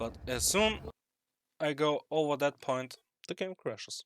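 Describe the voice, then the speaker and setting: A man with a non-native accent, speaking at a fairly slow pace. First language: not English. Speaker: gamer. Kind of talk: tutorial. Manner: halting.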